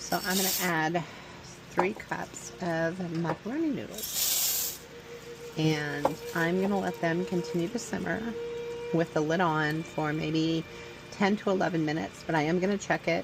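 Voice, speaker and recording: Music plays in the background as a woman speaks at a fairly slow pace. Her pitch is fairly low, with ordinary variation. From Louisiana. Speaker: home cook vlogger. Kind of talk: cooking tutorial. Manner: casual, hesitant.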